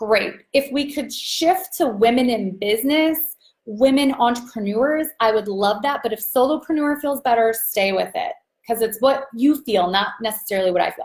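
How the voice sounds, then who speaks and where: A woman with a high pitch talks loudly at a moderate pace, her intonation lively. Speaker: business coach. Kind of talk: live stream training. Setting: live video stream. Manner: animated.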